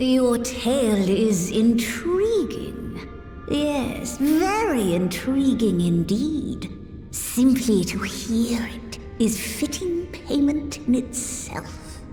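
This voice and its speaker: A woman does a put-on character voice, high in pitch and very slow. Clear music plays in the background. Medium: game stream. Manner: formal, archaic.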